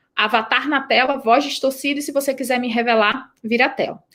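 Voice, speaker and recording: A woman with a northeastern Brazilian accent talks at a fairly quick pace. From Brazil, Rio Grande do Norte (Northeast). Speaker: startup founder and CEO. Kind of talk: interview. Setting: live stream.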